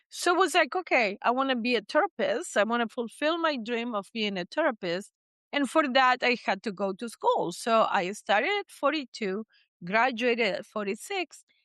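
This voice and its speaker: High-pitched woman in a Spanish accent, with very wide pitch swings and a dry, close sound with no echo. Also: moderate pace. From Argentina, Buenos Aires. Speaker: psychotherapist. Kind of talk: interview. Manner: animated.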